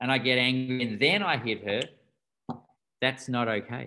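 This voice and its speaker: Someone talks at a fairly slow pace with an Australian accent. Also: man. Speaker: doctor and rites of passage teacher. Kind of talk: interview.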